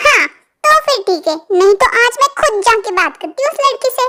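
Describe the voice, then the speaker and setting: A woman puts on a squeaky character voice at an extremely high pitch. She talks at a fairly quick pace, and her pitch swings very widely. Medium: read story.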